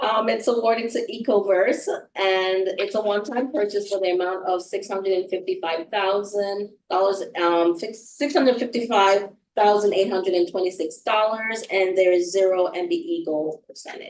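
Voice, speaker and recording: A woman with a Jamaican accent is speaking. Her voice is medium in pitch, with ordinary variation. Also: moderate pace. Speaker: procurement officer. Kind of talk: business meeting presentation.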